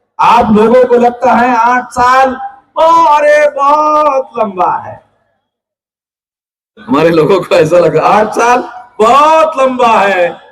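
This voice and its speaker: With an animated tone and lively intonation, a man speaks at an extremely high pitch, leaving long, frequent pauses. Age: 60s. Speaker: political activist leader. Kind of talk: political speech to rally. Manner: animated, addressing crowd.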